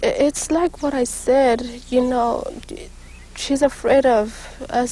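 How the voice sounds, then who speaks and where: Noticeable background noise sits behind a woman's high-pitched voice. She speaks with an American accent and fairly even intonation. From Kickapoo community, Texas-Mexico border. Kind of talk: interview testimony. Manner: halting, stammering.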